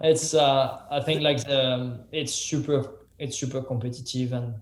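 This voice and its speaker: A man of medium pitch talks with a French accent. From France. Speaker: professional mountain biker and YouTuber. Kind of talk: podcast interview answers.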